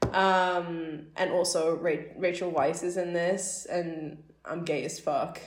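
A woman with fairly low pitch speaks at a very slow pace in monotone, flat intonation. Noticeable background noise is present. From Newcastle, northern England. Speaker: film studies student. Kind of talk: casual chat.

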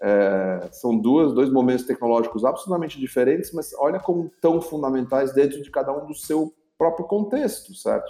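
With an unremarkable speaking voice, a man of fairly high pitch uses lively intonation at a moderate pace with hardly any pauses. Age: 50s. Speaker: corporate executive and entrepreneur. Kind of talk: interview.

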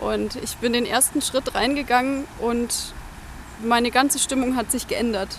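A woman with a high pitch, fairly even intonation and a fairly slow pace, against noticeable background noise. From Bavaria, near Munich. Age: 20s. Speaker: pilgrim, recent graduate. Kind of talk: casual conversation.

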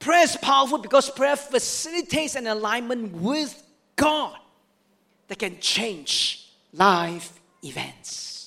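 This man talks in a raised, projected voice with an extremely high pitch and a bright, sharp tone. He moves at a very slow pace, with lively intonation and big swings in loudness. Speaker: pastor. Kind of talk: Sunday sermon with congregational call-and-response prompts. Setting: church service with live and online congregation. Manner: exhortative, repeating key lines for emphasis; rousing, urging the congregation to turn to neighbours.

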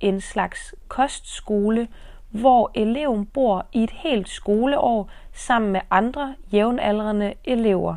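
At a very slow pace, a woman with a fairly high pitch and a dark, mellow tone speaks with ordinary pitch variation. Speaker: podcast host teaching Danish. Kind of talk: scripted narration for language learners. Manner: slow and clearly enunciated.

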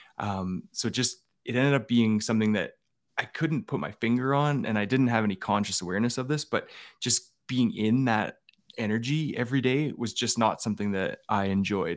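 A man with an Albertan accent is heard on a very clean recording over a silent background. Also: medium pitch for a man, ordinary pitch variation, moderate pace. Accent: Canadian (Albertan). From Alberta, Canada. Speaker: former police officer. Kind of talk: interview testimony.

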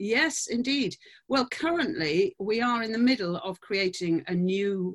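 The dry, close sound with no echo carries a woman's very slow speech with lively intonation in a British accent. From UK. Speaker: dancer and choreographer. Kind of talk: interview. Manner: halting.

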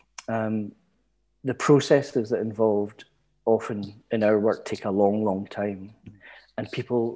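With a Glaswegian accent, a man talks slowly-ish at a fairly low pitch, his dark, mellow tone held to fairly even intonation. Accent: Glaswegian Scottish. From Scotland, East End of Glasgow. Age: 60s. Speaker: retired community education lecturer. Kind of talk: casual interview.

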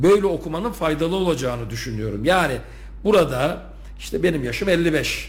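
This is a man speaking. Room echo can be heard. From Turkey. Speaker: university rector. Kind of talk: radio interview. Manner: hesitant, many filler sounds.

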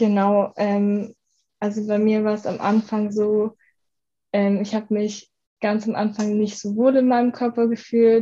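Her voice dark, mellow and somewhat breathy, a woman speaks fairly slowly in a monotone, flat intonation. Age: 20s. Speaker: university student, former coaching client. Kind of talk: podcast interview, personal testimony.

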